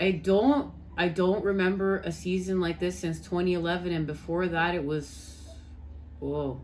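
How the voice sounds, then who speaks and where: A woman speaks with a Canadian accent at a moderate pace. Audible room echo surrounds her voice. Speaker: spiritual tarot reader. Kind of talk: casual spiritual vlog talk.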